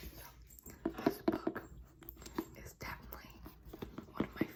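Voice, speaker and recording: A woman whispers at a medium tempo while noticeable noise sounds behind her. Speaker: ASMR creator. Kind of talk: casual talk to camera. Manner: whispered.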